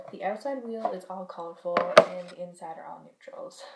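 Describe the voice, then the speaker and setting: A woman speaks over noticeable background noise. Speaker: beauty vlogger. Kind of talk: product review monologue. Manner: fast.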